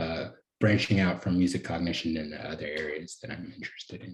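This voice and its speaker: A man speaks with an American accent in a very deep, low pitch. His voice is somewhat breathy. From North Carolina, US South. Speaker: cognitive science PhD student. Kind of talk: podcast interview.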